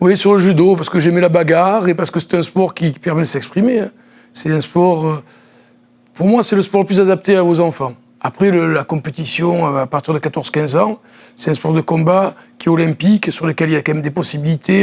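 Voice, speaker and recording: Using ordinary pitch variation, a man with a high pitch speaks at a fairly quick pace. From southern France, Nice. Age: 60s. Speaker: former judoka and judo coach. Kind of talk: TV interview.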